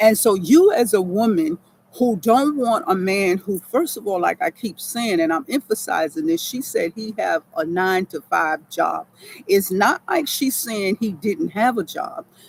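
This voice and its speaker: A woman with an American accent, animated and fairly high-pitched, with very wide pitch swings at a fairly slow pace, in a dry, close sound with no echo. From New York. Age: 70s. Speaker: military veteran and online advice giver. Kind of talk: motivational talk to viewers. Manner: halting, stammering at times.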